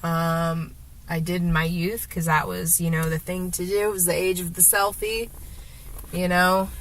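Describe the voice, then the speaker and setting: A woman with a fairly low pitch speaks in a somewhat breathy voice, and audible room echo surrounds her. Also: moderate pace. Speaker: vlogger. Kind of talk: casual vlog monologue. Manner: rambling, halting with fillers.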